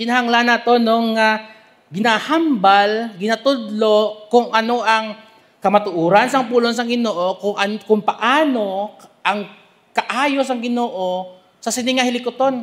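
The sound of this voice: This man has a high pitch, ordinary pitch variation and a fairly bright tone. He speaks at a fairly slow pace with few pauses.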